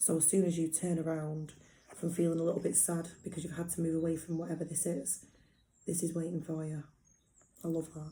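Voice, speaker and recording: Croaky and delivered in monotone, flat intonation, the put-on character voice runs at a fairly quick pace broken by long, frequent pauses. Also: woman, fairly low pitch for a woman. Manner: warm, enthusiastic.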